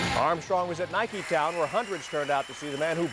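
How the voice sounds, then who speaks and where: Noticeable background noise sits behind a man with a high voice. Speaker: TV sports anchor. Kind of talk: TV sports news read. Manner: lively, playful.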